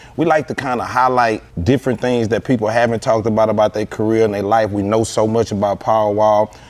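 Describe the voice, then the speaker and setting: Speaking very fast, a man keeps a medium pitch and fairly even intonation while noticeable noise runs in the background. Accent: Houston. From Houston, Texas. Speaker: podcast host. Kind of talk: interview.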